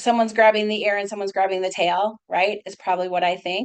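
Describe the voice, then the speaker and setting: An animated woman with an American accent at a fairly quick pace. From US Midwest, Minnesota. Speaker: psychologist. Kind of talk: webinar lecture. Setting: video call. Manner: fast.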